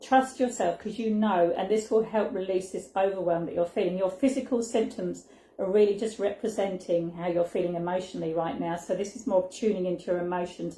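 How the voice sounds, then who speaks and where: A woman speaks with a dark, mellow tone and a somewhat breathy quality. Her pace is fairly quick, with hardly any pauses. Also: medium pitch for a woman, ordinary pitch variation. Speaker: intuitive card reader. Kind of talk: live-stream card reading. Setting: home live stream, sitting on floor. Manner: halting, tripping over words.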